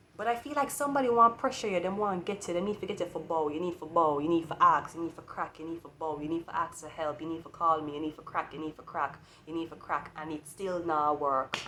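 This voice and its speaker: With a Jamaican accent, a woman talks at a very fast pace with hardly any pauses, her fairly low voice bright and sharp, showing ordinary pitch variation and big swings in loudness. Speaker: tarot reader. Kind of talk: tarot reading.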